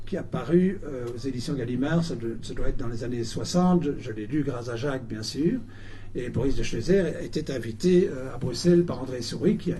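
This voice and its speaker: A man's somewhat breathy, dark, mellow voice at medium pitch moves at a moderate pace, with big swings in loudness and audible room echo. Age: 70s. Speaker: lecturer, writer. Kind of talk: public talk and interview. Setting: bookshop event with audience. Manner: halting, many repetitions.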